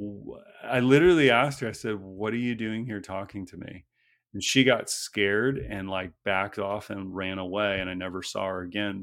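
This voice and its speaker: A normal speaking voice from a man, fairly low in pitch with fairly even intonation, at a moderate pace on a very clean recording with a silent background. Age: 40s. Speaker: actor and filmmaker. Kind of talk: interview.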